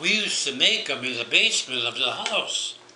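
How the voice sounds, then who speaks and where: Talking fairly slowly, a man is heard over noticeable background noise. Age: 80s+. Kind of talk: family reminiscence interview.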